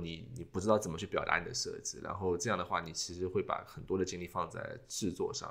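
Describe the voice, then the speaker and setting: A man is talking. He goes at a very fast pace. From China. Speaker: podcast host, industrial designer. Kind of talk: casual chat.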